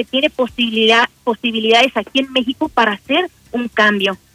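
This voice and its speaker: A woman's high-pitched voice at a moderate pace. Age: 20s. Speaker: lay missionary. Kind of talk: radio interview. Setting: phone call.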